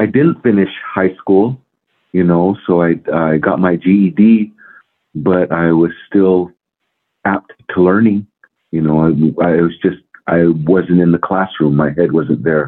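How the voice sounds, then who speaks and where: Very slow and broken by long, frequent pauses, a man's very deep, low voice carries an American accent and ordinary pitch variation. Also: very even loudness. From US Southwest, Hopi Nation, northeast Arizona. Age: 50s. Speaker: powwow singer and hoop dancer. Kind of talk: interview.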